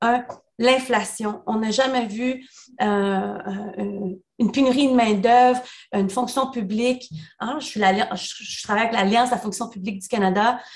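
With a fairly high pitch and fairly even intonation, a woman talks at a moderate pace against a quiet background, pausing long and often, her loudness swinging widely. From El Salvador. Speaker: union leader; panelist. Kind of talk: webinar talk. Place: home room. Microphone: video call.

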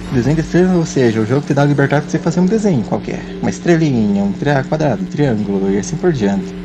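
Over music in the background and audible room echo, a man speaks very fast at a medium pitch, his pitch swinging very widely. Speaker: speedrunner. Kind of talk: live gameplay commentary. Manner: halting.

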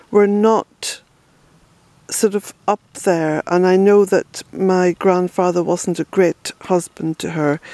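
The speech moves at a very slow pace. The sound is dry, with no echo. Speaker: family history vlogger. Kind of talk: casual vlog chat. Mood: reflective, gentle. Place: forest. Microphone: phone near.

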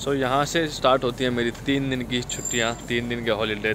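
Faint music plays in the background while a man talks at a moderate pace. The sound is dry, with no echo. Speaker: vlogger. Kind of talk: casual vlog chat. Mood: cheerful, relaxed. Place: street. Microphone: phone near.

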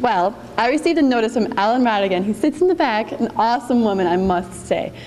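Over light background noise, the speaker talks at a very fast pace with lively intonation. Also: woman. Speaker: flag ceremony leader. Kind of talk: ceremony commands. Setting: stage with audience. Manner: formal. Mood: emotional, warm opening. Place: hall. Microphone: podium.

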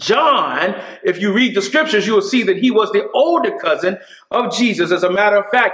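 A man speaks at a moderate pace in a raised, projected voice with lively intonation. Audible echo fills the room. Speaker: preacher. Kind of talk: sermon. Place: church.

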